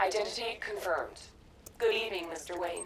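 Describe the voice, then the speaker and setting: A female-sounding put-on character voice at a medium pitch, fairly quick pace, and clear background noise. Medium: video game. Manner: flat, mechanical.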